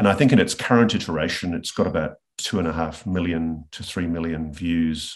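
A man with an Australian accent and a very deep, low pitch. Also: quiet background. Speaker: investigative journalist. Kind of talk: interview. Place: home room. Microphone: video call.

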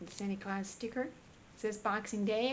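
Over light background noise, a woman speaks with fairly even intonation. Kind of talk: craft flip-through commentary. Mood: gentle, cheerful. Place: home room.

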